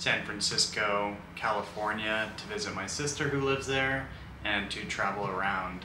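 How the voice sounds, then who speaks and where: At a moderate pace, a man talks with a fairly low pitch and fairly even intonation against noticeable background noise. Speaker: travel vlogger. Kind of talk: casual vlog chat. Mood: relaxed, friendly. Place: home room.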